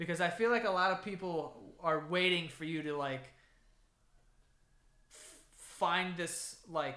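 A man with a fairly high pitch and a bright, sharp tone talks at a fairly slow pace, his pitch varying in an ordinary way.

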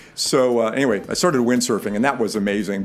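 A man speaks with faint music in the background. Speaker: life coach vlogger. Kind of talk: personal story monologue. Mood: reflective, warm. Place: home room. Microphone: studio mic.

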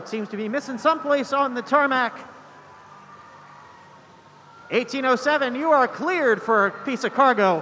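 Over light background noise, a man speaks in a raised, projected voice at a moderate pace with ordinary pitch variation. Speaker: game announcer. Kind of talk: live sports-style commentary. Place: hall.

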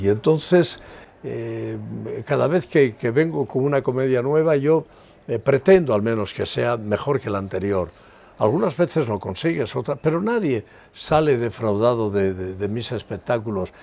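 His dark, mellow tone carries lively intonation as the man speaks at a fairly slow pace. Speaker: stage actor. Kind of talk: interview answer. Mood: warm, reflective. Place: garden. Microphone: lapel.

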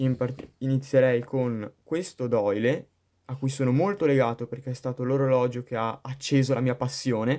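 A man's voice at medium pitch. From Padua, Veneto. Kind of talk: recorded video presentation.

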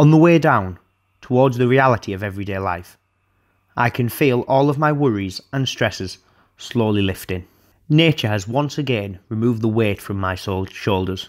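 In a very clean recording with a silent background, a man speaks with a Teesside accent at a medium pitch. His intonation is lively and his pace moderate. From Teesside, North East England. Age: young. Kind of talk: reading his own prose piece as film voice-over.

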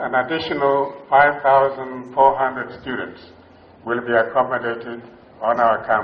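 Very slowly, a man speaks, his intonation fairly even. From Western Kenya. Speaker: university council chairman. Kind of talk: ceremonial speech. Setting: graduation ceremony with audience. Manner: formal. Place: hall. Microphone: podium.

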